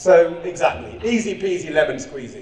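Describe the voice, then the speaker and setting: There is audible room echo and noticeable background noise. The speaker has an English accent. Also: man. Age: 40s. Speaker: clown and charity founder. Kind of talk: conference speech. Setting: stage with audience. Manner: fast; energetic, loud.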